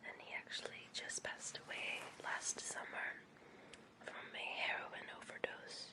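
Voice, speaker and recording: Noticeable background noise is present throughout. Someone whispers over it. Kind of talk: casual talk to camera. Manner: whispered.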